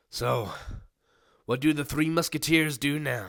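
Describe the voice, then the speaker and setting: A man puts on a raspy character voice, pitched fairly high. He speaks at a fairly slow pace. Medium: read story. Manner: rough, blustering.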